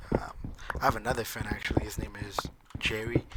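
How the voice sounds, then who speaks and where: A man whispers at a fairly quick pace against noticeable background noise. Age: 20s. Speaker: gaming YouTuber. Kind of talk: casual gameplay commentary. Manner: casual, filler-heavy. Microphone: poor mic, background noise.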